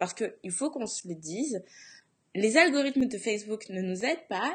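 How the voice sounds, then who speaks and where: Against a quiet background, a woman with a fairly high pitch sounds somewhat breathy and speaks with lively intonation. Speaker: blogging coach and podcast host. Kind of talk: Facebook Live tutorial talk. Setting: Facebook Live broadcast.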